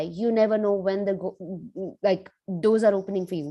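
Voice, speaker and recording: A woman with a medium pitch and a dark, mellow tone is heard on a very clean recording with a silent background. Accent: Indian. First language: Hindi. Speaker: cybersecurity professional, guest speaker. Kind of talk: motivational talk. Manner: animated.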